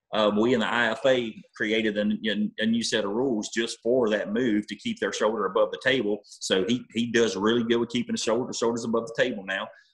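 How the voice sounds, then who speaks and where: A man speaks in a monotone with flat intonation and hardly any pauses. The background is quiet. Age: 40s. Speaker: arm wrestler; interview guest. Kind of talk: casual interview. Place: home room. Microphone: video call.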